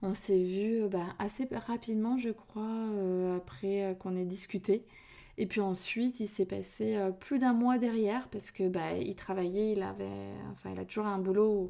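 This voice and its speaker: Speaking at a fairly slow pace, a woman uses a medium pitch and fairly even intonation, her tone dark and mellow. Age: 30s. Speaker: podcast host and relationship coach. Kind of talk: casual solo podcast talk.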